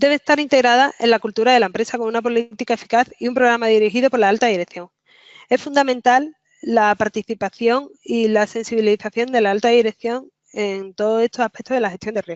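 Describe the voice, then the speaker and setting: A woman's fairly high voice at a fairly quick pace, with fairly even intonation. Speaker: software consultant presenting a webinar. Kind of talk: webinar presentation. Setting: online webinar. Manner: fast.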